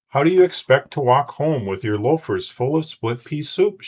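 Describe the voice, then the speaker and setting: A man performs a put-on character voice at a fairly high pitch with lively intonation. His pace is moderate, and the recording is very clean with a silent background. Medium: read story.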